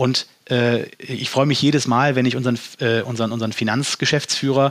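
A man has a normal speaking voice, medium in pitch, with fairly even intonation. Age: 30s. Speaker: company environmental officer. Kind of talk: podcast interview.

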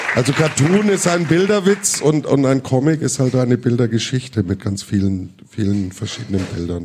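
Very wide pitch swings run through this man's voice. His pace stays moderate. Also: medium pitch for a man, hardly any pauses. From Middle Franconia, Germany. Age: 50s. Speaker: musician and cartoonist. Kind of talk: live interview with audience. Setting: stage with audience.

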